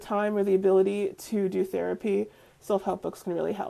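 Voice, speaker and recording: A woman's dark, mellow tone in an American accent. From New York. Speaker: spiritual community live stream host. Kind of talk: live stream talk answering comments. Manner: fast.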